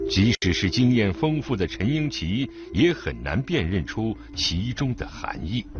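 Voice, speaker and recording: With very wide pitch swings and a solemn tone, a man at a medium pitch talks at a fairly slow pace with hardly any pauses over noticeable background noise. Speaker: radio documentary narrator. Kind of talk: documentary narration. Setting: radio broadcast. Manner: measured, steady, formal; solemn, storytelling tone building suspense.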